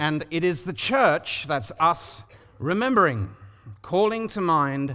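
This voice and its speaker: The voice, in a London accent, has a bright, sharp tone. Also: man. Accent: British (London). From London, England. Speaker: preacher. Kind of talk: sermon. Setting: church.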